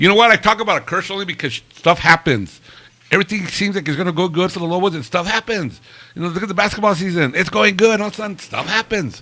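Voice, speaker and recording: Over noticeable background noise, a man talks at a very fast pace with a high pitch. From New Mexico, Albuquerque. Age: 60s. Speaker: live stream talk show host. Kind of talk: casual chat. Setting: bar, live stream.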